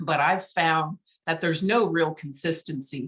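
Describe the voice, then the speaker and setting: Here is an ordinary speaking voice, paced fairly slowly with ordinary pitch variation. There is no echo, and the sound is dry and close. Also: woman. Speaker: webinar presenter on business marketing. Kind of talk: online webinar tutorial.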